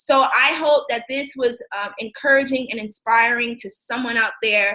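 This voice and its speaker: A woman with an American accent speaks in a high, bright, sharp voice. Her intonation stays fairly even while her loudness swings widely. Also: moderate pace. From US Midwest, Racine, Wisconsin. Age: 20s. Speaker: motivational speaker. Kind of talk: motivational talk. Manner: hesitant with frequent ums.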